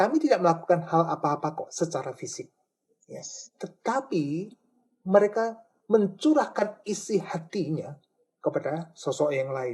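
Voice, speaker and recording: A man speaks in a high pitch at a moderate pace. His intonation is lively, with big swings in loudness. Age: 60s. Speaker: church elder. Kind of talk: talk show interview. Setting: radio studio. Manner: halting.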